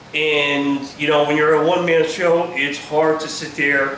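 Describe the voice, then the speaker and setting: Amid noticeable background noise and audible room echo, a man talks in a fairly high, monotone, flat voice. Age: 60s. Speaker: hot rod builder, shop video host. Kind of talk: casual shop tutorial. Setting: home workshop. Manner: hesitant, many fillers.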